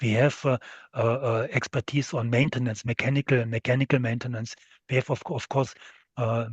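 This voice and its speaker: Here a man talks at a fairly quick pace. His voice is somewhat breathy. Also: dry, close sound with no echo, quiet background. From western Germany, near French and Luxembourg border. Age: 60s. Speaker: steel industry executive. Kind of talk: interview. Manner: halting, many fillers.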